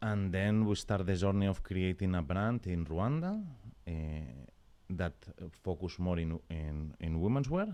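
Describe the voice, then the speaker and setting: A man with a very deep, low pitch speaks with a Spanish accent at a fairly slow pace, with ordinary pitch variation and long, frequent pauses. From Spain, Barcelona. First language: Spanish or Catalan. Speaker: fashion brand co-founder and creative director. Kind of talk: interview. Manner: halting, non-native phrasing.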